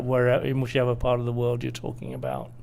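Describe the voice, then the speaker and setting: With a British accent, a man talks at a medium pitch. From Britain. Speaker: energy industry executive. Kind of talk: interview.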